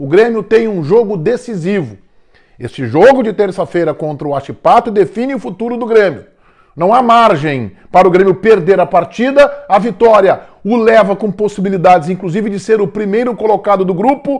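Over a quiet background, a man with a southern Brazilian accent speaks in a high pitch with lively intonation. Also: moderate pace. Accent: gaúcho Brazilian Portuguese. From southern Brazil (Rio Grande do Sul). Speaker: football commentator. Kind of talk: sports commentary monologue. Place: home room. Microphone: lapel.

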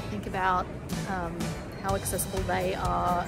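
A woman at a moderate pace over loud background music. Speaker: geography educator running a workshop. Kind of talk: casual vlog chat. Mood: cheerful, upbeat. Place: station. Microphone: phone near.

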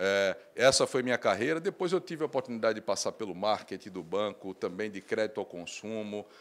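In a normal speaking voice, a man with a fairly low pitch talks at a fairly quick pace with hardly any pauses and lively intonation. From Brazil, Recife (Pernambuco); Pernambuco, Brazil. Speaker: bank executive; guest. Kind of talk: interview. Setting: trade fair booth studio. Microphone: handheld.

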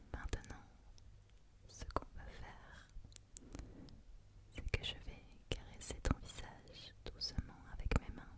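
Whispering at a very slow pace, the voice has long, frequent pauses and big swings in loudness. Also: woman. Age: 20s. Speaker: ASMR creator. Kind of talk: ASMR relaxation roleplay. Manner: whispered, soft, slow. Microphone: studio mic.

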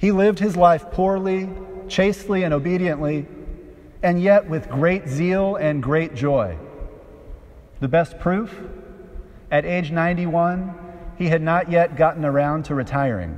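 A man speaks at a high pitch with ordinary pitch variation. His pace is fairly slow, broken by long, frequent pauses. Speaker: preacher. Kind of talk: sermon. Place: church.

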